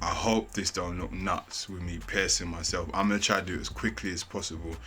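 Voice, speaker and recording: Music plays in the background as a man talks at a fairly quick pace. He has a London accent and ordinary pitch variation. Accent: London Multicultural English. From England. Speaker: YouTuber. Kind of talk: casual vlog talk. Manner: casual slangy.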